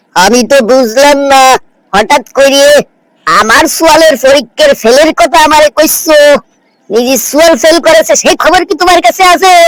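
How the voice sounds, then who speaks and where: The speaker uses a cartoonish character voice pitched high. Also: moderate pace. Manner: sly, cheeky.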